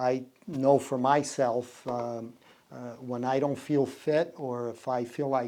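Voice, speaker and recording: With a dark, mellow tone and a Portuguese accent, a man talks at a very slow pace in a flat monotone. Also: medium pitch for a man. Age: 60s. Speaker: business owner. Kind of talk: podcast interview. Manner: hesitant, many fillers.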